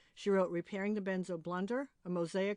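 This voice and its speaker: A woman at a medium pitch, with a normal speaking voice and a fairly quick pace, in a dry, close sound with no echo against a quiet background. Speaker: podcast host. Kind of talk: podcast introduction.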